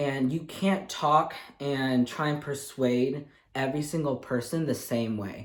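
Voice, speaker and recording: An upbeat man's fairly high voice in a Midwestern US accent, fairly slow, with ordinary pitch variation. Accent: General American (Midwestern). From Michigan, USA. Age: 20s. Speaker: speech language pathology graduate student. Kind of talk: reality show audition tape to camera.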